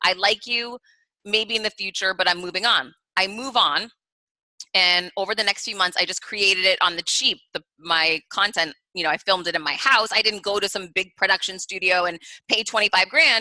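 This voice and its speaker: In a normal speaking voice, a woman of medium pitch talks at a moderate pace with ordinary pitch variation. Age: 40s. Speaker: business author and keynote speaker. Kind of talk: podcast interview.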